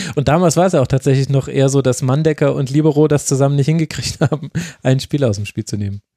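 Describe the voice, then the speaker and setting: A man with a dark, mellow tone and a fairly high pitch, ordinary pitch variation, a very fast pace and a dry, close sound with no echo. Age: 30s. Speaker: podcast host. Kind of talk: casual chat.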